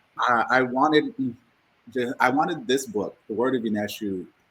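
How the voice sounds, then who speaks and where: In a normal speaking voice, a man speaks at a moderate pace and medium pitch with lively intonation. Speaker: author and former teacher. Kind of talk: casual interview chat.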